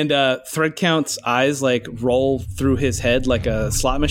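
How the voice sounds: Speech in a natural reading voice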